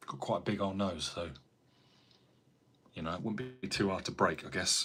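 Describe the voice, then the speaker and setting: A bright, sharp tone carries an American accent at a moderate pace with ordinary pitch variation. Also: man, fairly low pitch for a man. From England, Cambridgeshire. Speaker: carpenter and YouTuber. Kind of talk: casual live-stream chat reading viewer comments. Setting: live stream at home. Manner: relaxed, chatty.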